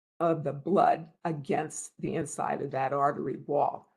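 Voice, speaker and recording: A woman speaks very slowly in a somewhat breathy voice. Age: 70s. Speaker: health expert speaker. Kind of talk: webinar talk. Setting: online webinar.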